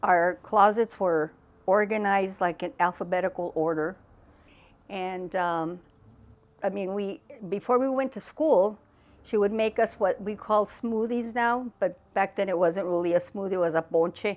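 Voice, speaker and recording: A plain, everyday voice speaks with an American accent at a moderate pace. Pitch variation is ordinary. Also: woman, medium pitch for a woman. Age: 60s. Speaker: interviewee, family member. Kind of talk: interview reminiscence.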